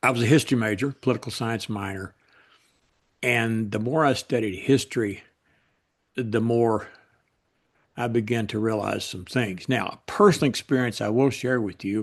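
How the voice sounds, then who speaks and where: Over a quiet background, a man with a Kentucky accent talks at a moderate pace and medium pitch, his intonation fairly even and his pauses long and frequent. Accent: Southern US (Kentucky). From US South, Western Kentucky. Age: 70s. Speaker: political writer. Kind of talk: interview.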